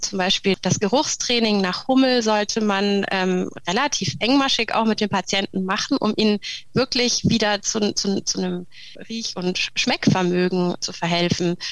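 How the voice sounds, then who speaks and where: A woman talks at a fairly slow pace, her medium pitch showing ordinary pitch variation. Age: 40s. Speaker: speech therapist and breathing therapist. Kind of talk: interview. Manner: hesitant, many fillers.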